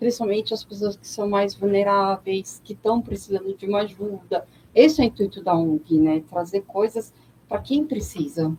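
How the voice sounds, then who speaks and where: A woman's ordinary speaking voice at a medium pitch and moderate pace, with ordinary pitch variation and big swings in loudness. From São Paulo, Brazil. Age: 40s. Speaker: NGO president and religious leader. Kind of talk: radio interview.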